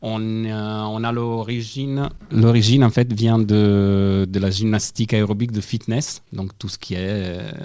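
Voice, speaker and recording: With a slight Italian accent, a man speaks very slowly at a fairly low pitch with hardly any pauses. His intonation is fairly even, on a very clean recording with a silent background. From Italy. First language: Italian (speaking French). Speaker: national aerobic gymnastics coach. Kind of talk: radio interview.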